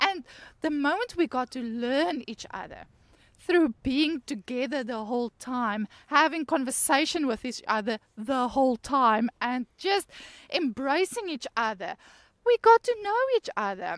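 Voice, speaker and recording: A woman speaks loudly, her high voice full of lively intonation. The recording is very clean, with a silent background and a dry, close sound with no echo. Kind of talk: casual conversational Bible teaching. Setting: outdoors by a lake next to a waterfall. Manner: hard-sounding, blunt tone.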